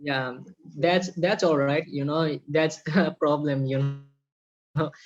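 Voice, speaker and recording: A man with a Bengali accent speaks at a very slow pace. His pitch is fairly high and his intonation fairly even. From Bangladesh. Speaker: podcast host. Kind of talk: casual interview.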